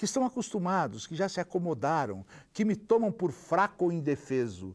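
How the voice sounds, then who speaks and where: Very wide pitch swings against a quiet background. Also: man. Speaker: poet reading aloud. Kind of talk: poetry reading aloud, an indignant satirical poem delivered as a public protest. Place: studio.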